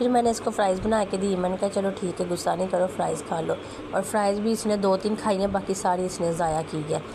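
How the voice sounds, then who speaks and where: Amid noticeable background noise, a woman with a medium pitch talks at a fairly quick pace, her intonation fairly even and her loudness very even. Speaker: family vlogger. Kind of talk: vlog narration. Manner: casual.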